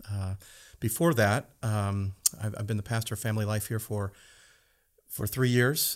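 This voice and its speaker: A plain, everyday voice with an American accent speaks at a moderate pace. The intonation stays fairly even, and the recording is very clean with a silent background. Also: man. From US Midwest, southwestern Michigan. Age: 50s. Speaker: pastor of family life. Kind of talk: casual chat.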